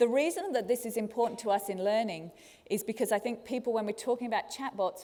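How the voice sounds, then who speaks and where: With a slight Australian accent, a woman speaks at a fairly quick pace in a fairly high pitch, with ordinary pitch variation and a dark, mellow tone. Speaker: learning technology speaker. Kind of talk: conference talk. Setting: stage with audience.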